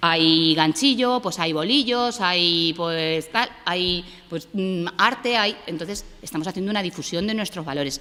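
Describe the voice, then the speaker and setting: A woman's bright, sharp, fairly low-pitched voice, with lively intonation and hardly any pauses. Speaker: cultural program staff presenter. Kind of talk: public presentation. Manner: fast.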